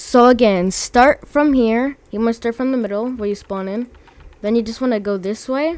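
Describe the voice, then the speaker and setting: The speaker is a woman with a fairly high pitch. She keeps a moderate pace. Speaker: gaming video creator. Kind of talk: casual gameplay tutorial narration. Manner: bored-sounding, flat.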